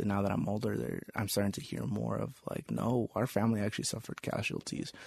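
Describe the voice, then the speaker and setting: Against a quiet background, a man speaks in a normal speaking voice with an American accent. His pitch varies in an ordinary way. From Las Vegas, Nevada. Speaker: podcast host, English teacher. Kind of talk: casual chat.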